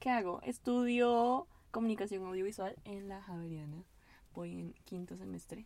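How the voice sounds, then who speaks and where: Fairly slow speech from a woman at medium pitch, with ordinary pitch variation and big swings in loudness. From Venezuela. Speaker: university student. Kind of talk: casual chat. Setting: in a car.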